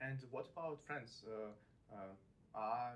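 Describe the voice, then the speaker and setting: Audible room echo surrounds a man talking at a moderate pace. His pitch is medium, with ordinary pitch variation. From Russia. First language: Russian. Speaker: podcast host, student. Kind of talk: casual interview chat. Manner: halting.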